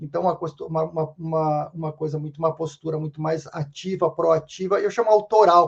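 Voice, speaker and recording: A man is speaking. His pace is moderate. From southern Brazil, Rio Grande do Sul. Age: 60s. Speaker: sociologist and consultant. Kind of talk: interview podcast conversation. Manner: repetitive, halting restarts.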